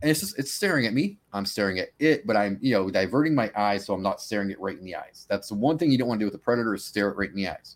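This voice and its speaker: A man with an American accent talks at a very fast pace, with hardly any pauses. His pitch is medium, with ordinary variation. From Massachusetts. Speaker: cryptid researcher and podcaster. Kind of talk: casual chat.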